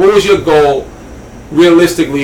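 A man with a New York accent, lively intonation and a moderate pace, over noticeable background noise. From Southeast Queens, New York. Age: 30s. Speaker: barber and entrepreneur. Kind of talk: casual interview.

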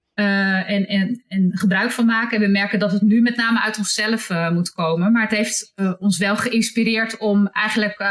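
A woman at medium pitch talks at a moderate pace in a monotone, flat intonation, with very even loudness and hardly any pauses. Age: 50s. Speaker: hospital HR manager. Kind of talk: interview. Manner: halting.

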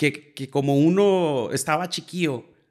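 This man has an unremarkable speaking voice with ordinary pitch variation at a fairly slow pace. The recording is very clean, with a silent background. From Piedras Negras, Coahuila, Mexico. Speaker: musician, bassist. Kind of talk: casual interview chat. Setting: host's home.

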